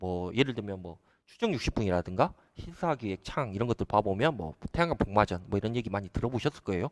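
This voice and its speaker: A man with a Jeolla accent speaks with very wide pitch swings. The very clean recording has a silent background and a dry, close sound with no echo. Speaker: solar company CEO. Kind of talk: live stream talk to viewers. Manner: hesitant, filler-heavy.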